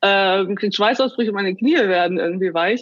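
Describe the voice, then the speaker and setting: A woman speaks with a medium pitch. Hers is an ordinary speaking voice. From northern Germany (Bremen/Oldenburg region). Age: 30s. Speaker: life coach. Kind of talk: interview.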